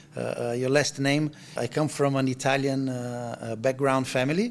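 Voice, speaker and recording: A man of medium pitch talks at a moderate pace with fairly even intonation. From Brazil, São Paulo. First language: Portuguese. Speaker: chef. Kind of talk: interview. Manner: halting, many fillers and repetitions.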